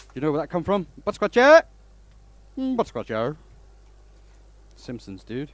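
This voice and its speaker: A man with a fairly high pitch talks at a moderate pace, with long, frequent pauses and big swings in loudness. His pitch swings very widely, and the recording is very clean with a silent background. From Denmark. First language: Danish. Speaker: woodturner. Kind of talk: casual livestream chat. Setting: workshop livestream. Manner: animated.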